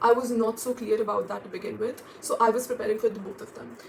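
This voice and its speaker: Over noticeable background noise, a woman speaks very fast at a fairly high pitch with monotone, flat intonation. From India, Delhi NCR. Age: 20s. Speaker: student vlogger. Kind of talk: casual vlog.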